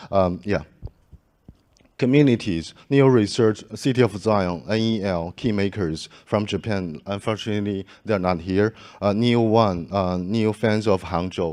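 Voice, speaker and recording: At a fairly slow pace, a man speaks with a fairly low pitch. His pitch varies in an ordinary way over a quiet background. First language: not English. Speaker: conference organizer giving closing remarks. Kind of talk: closing speech at conference. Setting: conference stage with audience. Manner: halting, many fillers and restarts.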